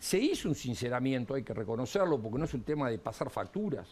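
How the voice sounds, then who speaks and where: In a Uruguayan accent, a man speaks at a medium pitch with very wide pitch swings. His voice is somewhat breathy. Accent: Uruguayan Rioplatense Spanish. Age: 60s. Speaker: economist and politician. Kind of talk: TV interview.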